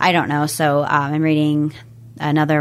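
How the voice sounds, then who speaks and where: Speaking in a calm tone, a woman with an American accent has a very deep, low pitch. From US Pacific Northwest (Washington State, Everett area). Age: 30s. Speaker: realtor and yoga instructor. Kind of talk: interview.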